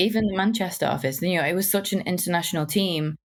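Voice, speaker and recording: A woman speaks at a medium pitch with a strong northern English accent. The recording is very clean, with a silent background. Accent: strong northern English accent, often mocked. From northern England, Wigan. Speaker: UX designer, accessibility champion. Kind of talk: podcast interview.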